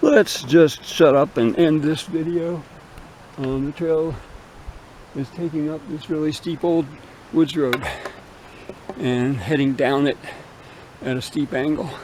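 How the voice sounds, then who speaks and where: Noticeable background noise accompanies a fairly high-pitched man speaking at a fairly slow pace with long, frequent pauses. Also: fairly even intonation. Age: 70s. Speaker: spiritual vlogger. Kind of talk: casual vlog monologue. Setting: outdoors, hiking a woodland trail. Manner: relaxed, rambling with fillers.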